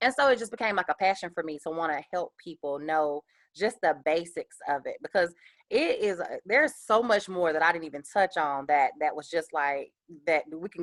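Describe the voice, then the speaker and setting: In a Southern US accent, a woman talks at a fairly quick pace and fairly low pitch with ordinary pitch variation and big swings in loudness, the sound dry and close with no echo. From US South, Columbus, Georgia. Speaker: small business owner, panel speaker. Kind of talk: panel Q&A. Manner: fast.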